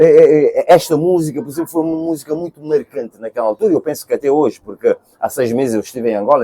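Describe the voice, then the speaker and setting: A man speaks fairly quickly with lively intonation, a fairly high pitch and a dark, mellow tone, recorded dry and close with no echo. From Cape Verde. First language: Cape Verdean Creole (speaking Portuguese). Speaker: singer. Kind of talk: interview. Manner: halting.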